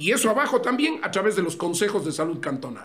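With lively intonation, the delivery moves along at a fairly quick clip. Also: man. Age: 50s. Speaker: presidential candidate, politician. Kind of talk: interview. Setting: studio with camera. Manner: fast.

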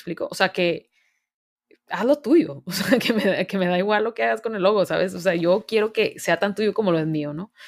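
A woman with a northern Mexican accent speaks at a moderate pace in a medium pitch, her intonation lively and her tone animated. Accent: northern Mexican (Monterrey). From Monterrey, northern Mexico. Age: 20s. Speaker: university student and service project founder. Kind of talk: casual interview.

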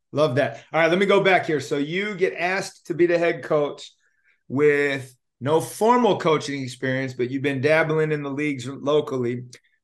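This man has an unremarkable speaking voice, pitched fairly high, with ordinary pitch variation and a moderate pace. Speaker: podcast host. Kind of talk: interview.

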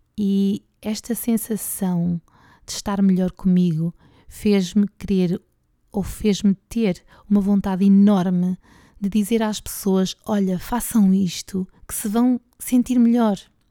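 In a European Portuguese accent, a woman with a dark, mellow tone speaks at a very slow pace with fairly even intonation and long, frequent pauses, in a very clean recording with a silent background and a dry, close sound with no echo. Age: 40s. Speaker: podcast host and PE teacher. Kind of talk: personal monologue.

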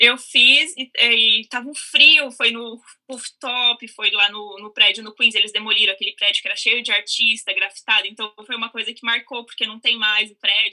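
A woman in an unremarkable speaking voice talks at a moderate pace with a fairly high pitch, fairly even intonation, and big swings in loudness. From Brazil, São Paulo. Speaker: actress. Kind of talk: casual chat.

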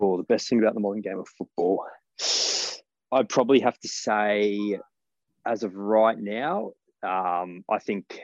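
A man with an Australian accent speaks at a fairly slow pace in a fairly low voice, with fairly even intonation and long, frequent pauses. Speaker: football fan. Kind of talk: interview.

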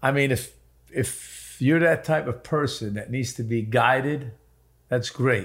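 A somewhat breathy voice at a fairly slow pace with fairly even intonation, on a very clean recording with a silent background. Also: man, medium pitch for a man. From Middle East. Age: 50s. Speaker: podcast co-host. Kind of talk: casual chat.

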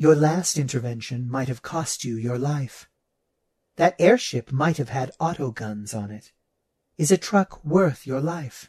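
A man puts on a character voice at medium pitch. His pace is fairly slow. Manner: calm, measured, precise.

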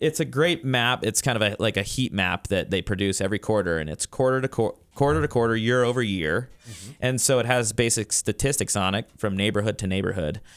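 A man with a plain, everyday voice speaks at a medium pitch and a fairly quick pace, with lively intonation and hardly any pauses. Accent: American. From Colorado (Crested Butte). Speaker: real estate managing broker. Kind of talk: radio interview. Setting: studio.

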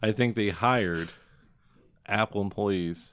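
A man with an American accent talks at a fairly slow pace. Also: very clean recording, silent background. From southern Indiana. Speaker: podcast co-host. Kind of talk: casual chat. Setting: studio.

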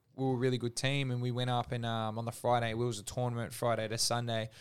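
A man talks very fast in an Australian accent at a medium pitch. His intonation is monotone and flat on a very clean recording with a silent background. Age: 30s. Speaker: gym owner. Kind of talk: casual interview, personal story.

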